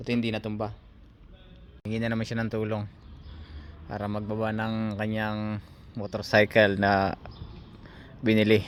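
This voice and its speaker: Flat, monotone delivery at a moderate pace, broken by long, frequent pauses. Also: man, fairly low pitch for a man. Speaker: vlogger. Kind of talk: travel vlog narration.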